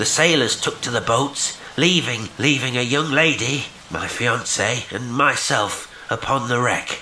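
A man uses a guttural put-on character voice with a solemn tone and ordinary pitch variation, while clear background noise runs underneath. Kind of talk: horror story reading. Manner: hopeless, pathetic, solemn.

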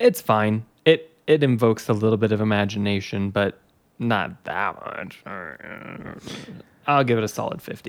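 A man speaks at a fairly slow pace in an ordinary speaking voice. His pitch is fairly low, with ordinary variation. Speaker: podcast host. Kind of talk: casual chat.

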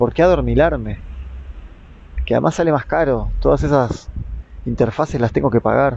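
A man speaks at a moderate pace with very even loudness and long, frequent pauses. Background noise is noticeable. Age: 30s. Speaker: podcaster and therapist. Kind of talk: reflective monologue.

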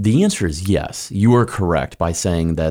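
The voice is a man's, with an American accent. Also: very clean recording, silent background. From US Midwest, Kansas City. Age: 30s. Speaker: pastor. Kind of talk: interview. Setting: studio. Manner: animated.

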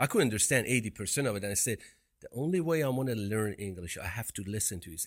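A man with a Persian accent and a fairly low pitch at a very fast pace, on a very clean recording with a silent background. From Iran. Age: 50s. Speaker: podcast co-host, entrepreneur. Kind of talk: casual chat.

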